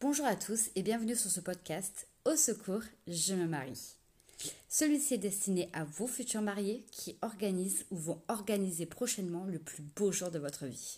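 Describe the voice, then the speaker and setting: A woman speaks at a fairly slow pace in a somewhat breathy, medium-pitched voice. Her intonation is lively. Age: 30s. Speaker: wedding planner, podcast host. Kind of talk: scripted solo podcast intro.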